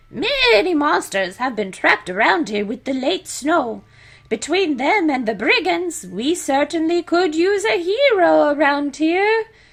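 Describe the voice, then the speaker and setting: A woman's put-on character voice, high-pitched with very wide pitch swings, at a moderate pace. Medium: solo performance. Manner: affable, folksy.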